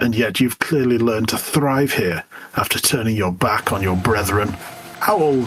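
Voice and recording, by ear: Someone is reading aloud in a natural voice. The words are read out.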